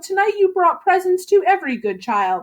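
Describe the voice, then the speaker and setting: Using a squeaky put-on character voice at an extremely high pitch, a woman speaks at a moderate pace. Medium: read story.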